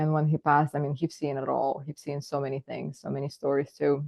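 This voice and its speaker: In a Russian accent, a woman speaks at a very fast pace. Her very deep, low pitch stays monotone and flat. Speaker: psychotherapist. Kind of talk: casual chat.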